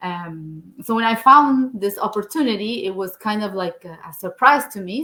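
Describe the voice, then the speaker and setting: A woman speaks in a Spanish accent at a moderate pace. Her tone is bright and sharp, with lively intonation. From Argentina. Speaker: engineer and online business owner. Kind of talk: interview.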